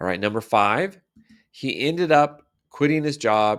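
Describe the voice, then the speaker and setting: His pitch rises and falls very widely. The man talks at a moderate pace. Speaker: English teacher. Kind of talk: grammar tutorial. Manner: conversational, explanatory.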